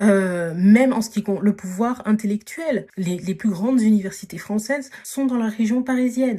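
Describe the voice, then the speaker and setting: This voice has a dark, mellow tone and sounds somewhat breathy. It moves at a moderate pace with hardly any pauses and ordinary pitch variation. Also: woman, fairly high pitch for a woman. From Paris region, France. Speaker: podcast host, dating and social advice. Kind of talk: casual advice monologue. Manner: hesitant, many fillers (euh, voilà).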